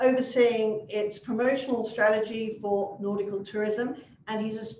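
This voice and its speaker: A woman's fairly high-pitched, a normal speaking voice, with ordinary pitch variation at a moderate pace. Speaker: event host. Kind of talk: speaker introduction.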